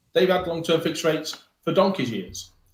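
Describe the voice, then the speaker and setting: The speaker is a man with a northern English accent. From northern England. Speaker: mortgage broker. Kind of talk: podcast discussion. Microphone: poor microphone and no headphones.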